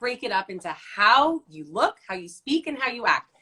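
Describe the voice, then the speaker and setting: A woman's high, bright, sharp voice sounds animated, her pitch swinging very widely. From New Jersey, Italian-American. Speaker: executive presence coach. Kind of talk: interview. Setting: Instagram live video. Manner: high energy, animated.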